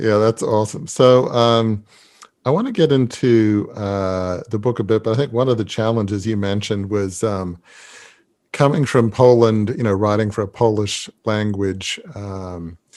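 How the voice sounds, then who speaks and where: With an Australian accent, a man speaks at a moderate pace in a fairly low voice with ordinary pitch variation, on a very clean recording with a silent background. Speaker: podcast host. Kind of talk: interview.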